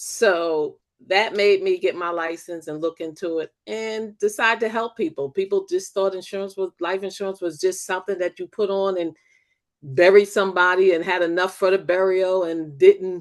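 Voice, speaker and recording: Against a quiet background, a woman at medium pitch speaks at a moderate pace with fairly even intonation. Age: 60s. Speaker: new life insurance agent. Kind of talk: casual chat.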